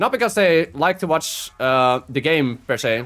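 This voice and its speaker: Speech comes at a fairly slow pace. The speaker talks with a Dutch accent. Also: man. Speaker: video game streamer. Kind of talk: casual live-stream chat while gaming. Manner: halting, with frequent fillers and restarts.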